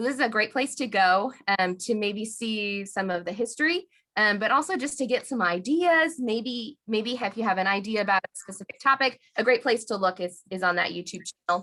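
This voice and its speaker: With an American accent, a woman speaks at a fairly quick pace with a fairly high pitch, lively intonation and a bright, sharp tone. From US Midwest, Indiana. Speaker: executive director of a square dance callers' association. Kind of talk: presentation on a video call. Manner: fast.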